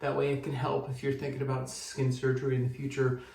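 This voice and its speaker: A man with a fairly high voice talks at a fairly quick pace. Noticeable background noise and audible room echo are present. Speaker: vlogger recovering from skin surgery. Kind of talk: personal video diary. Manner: halting, pausing to catch breath.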